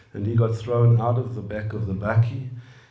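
A man talks in a monotone, flat intonation. Room echo is audible. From South Africa, Johannesburg. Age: 60s. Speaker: computer scientist and businessman; guest. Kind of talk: personal talk and dialogue. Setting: room with live audience. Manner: hesitant with fillers. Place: meeting room. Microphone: handheld.

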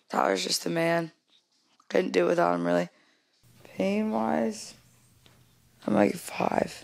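A woman with a very deep, low voice sounds strained, talking at a fairly slow pace with very wide pitch swings and long, frequent pauses. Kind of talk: casual vlog chat. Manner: weak, strained post-surgery voice. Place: home room. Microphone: handheld.

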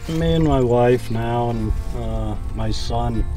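A man is speaking. Loud music plays in the background. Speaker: farmer. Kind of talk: interview answer. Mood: relaxed storytelling. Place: farm machine.

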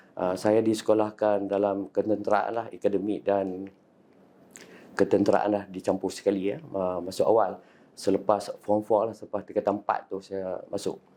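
A man with a fairly low pitch and a dark, mellow tone speaks at a moderate pace in monotone, flat intonation. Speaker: army veteran. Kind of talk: personal testimony. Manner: halting, many fillers.

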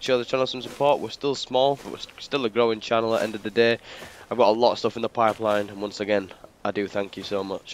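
Very fast and fairly even in intonation, the voice shows big swings in loudness. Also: man, medium pitch for a man. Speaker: gaming YouTuber. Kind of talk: let's play commentary.

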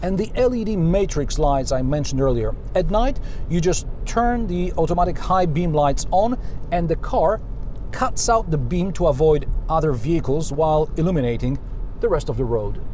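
A man at a moderate pace, light background noise underneath. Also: lively intonation, dry sound with no echo. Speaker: car reviewer. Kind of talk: commentary. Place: car.

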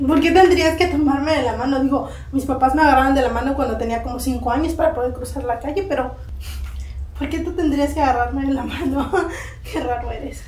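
Speech comes at a fairly quick pace with ordinary pitch variation, and audible room echo fills the space. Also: woman, high pitch for a woman. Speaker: actress in a comedy sketch. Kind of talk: scripted comedic dialogue. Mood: teasing, dismissive, playful.

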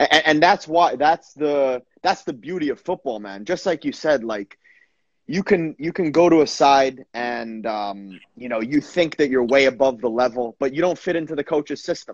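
Over a quiet background, a man with a fairly high pitch speaks at a moderate pace with lively intonation, the sound dry with no echo. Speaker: podcast host, former footballer; podcast host. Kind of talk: casual interview. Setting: video call. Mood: warm, encouraging. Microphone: video call.

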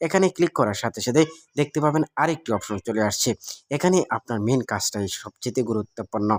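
A man with a medium pitch speaks in an unremarkable speaking voice with lively intonation. The sound is dry and close with no echo, on a very clean recording with a silent background. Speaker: tech tutorial youtuber. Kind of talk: screen-recorded tutorial.

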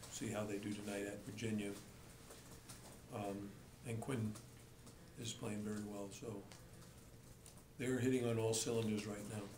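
A man talks at a moderate pace with a fairly low pitch and a monotone, flat intonation, leaving long, frequent pauses. Background noise is noticeable. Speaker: basketball coach. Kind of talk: press conference answers. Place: hall.

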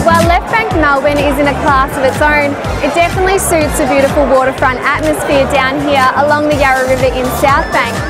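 Loud music plays behind a woman talking at a fairly quick pace. She hardly pauses at all. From Australia. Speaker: TV presenter. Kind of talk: venue promo presenting. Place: street. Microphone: lapel.

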